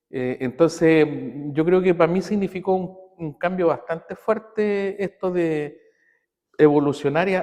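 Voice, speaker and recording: This man has a high pitch, a dark, mellow tone, ordinary pitch variation and a fairly slow delivery. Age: 60s. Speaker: physiotherapy professor and aikido practitioner. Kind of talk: interview conversation. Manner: halting, many fillers.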